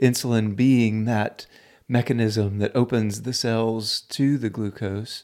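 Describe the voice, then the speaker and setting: The intonation stays fairly even in an unremarkable speaking voice. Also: man, very clean recording, silent background. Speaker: podcast host. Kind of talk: interview.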